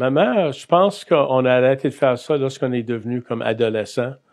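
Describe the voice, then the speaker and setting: Here a man talks with an Acadian accent. His pitch is medium. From Acadia, New Brunswick (Bathurst, north shore). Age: 60s. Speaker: Salvation Army chaplain. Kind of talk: testimony interview. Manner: hesitant, many fillers.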